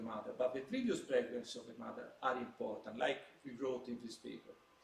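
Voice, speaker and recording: Very wide pitch swings mark a man talking at a fairly quick pace, with noticeable background noise and audible room echo. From Italy. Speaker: psychiatrist. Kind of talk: lecture. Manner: halting.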